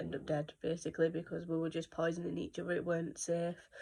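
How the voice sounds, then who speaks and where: Speaking very fast, a woman with a British accent keeps her pitch fairly low. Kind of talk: casual talk to camera.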